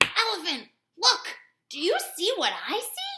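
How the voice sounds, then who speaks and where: A put-on character voice, squeaky and extremely high in pitch. It talks at a fairly slow pace. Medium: read story. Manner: wheedling, scheming.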